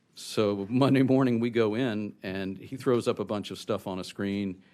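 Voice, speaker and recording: A man with an ordinary speaking voice, fairly low in pitch, with ordinary pitch variation, on a very clean recording with a silent background. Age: 60s. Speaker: cancer patient testifying at hearing. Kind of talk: testimony.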